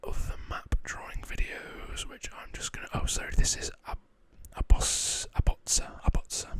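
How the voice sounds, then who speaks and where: A man whispers at a moderate pace, his loudness swinging widely. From northwest England, Preston. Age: 20s. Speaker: ASMR creator. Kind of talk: Q&A reading viewer questions. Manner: soft-spoken.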